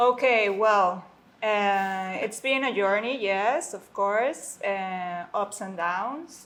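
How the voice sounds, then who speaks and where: The speech comes very slowly with fairly even intonation in a Spanish accent. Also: woman. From Mexico City. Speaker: concierge and guest services manager. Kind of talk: casual interview. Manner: halting, many fillers.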